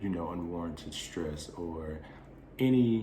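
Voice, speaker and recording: A man speaks at a moderate pace in a dark, mellow, somewhat breathy tone. Audible room echo surrounds his voice. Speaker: wellness channel host. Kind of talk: monologue to camera.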